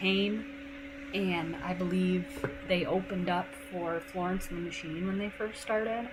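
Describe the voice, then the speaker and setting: Medium-pitched woman at a moderate pace, with noticeable background noise and audible room echo. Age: 20s. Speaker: gaming streamer. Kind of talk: casual live stream chat. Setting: live stream.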